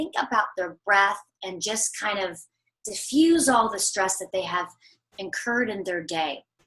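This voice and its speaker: Music plays in the background. A woman talks in an animated tone. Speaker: holistic corrective exercise coach. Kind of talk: interview.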